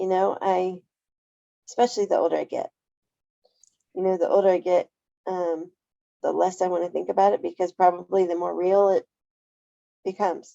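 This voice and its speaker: A woman at a fairly quick pace with long, frequent pauses, in a dry, close sound with no echo. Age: 40s. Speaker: interviewee living with spina bifida. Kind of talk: casual interview conversation.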